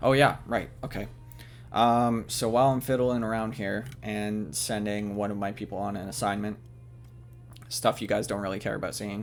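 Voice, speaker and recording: Music sits behind the speech. The man's pitch varies in an ordinary way. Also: moderate pace. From Canada. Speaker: gaming video creator. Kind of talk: let's play commentary narration. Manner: hesitant, many fillers.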